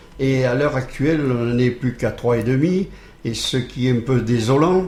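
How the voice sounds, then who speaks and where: Heard with audible room echo, a man talks at a very slow pace and medium pitch. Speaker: charity volunteer. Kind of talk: radio interview. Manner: hesitant, many repeated words and fillers.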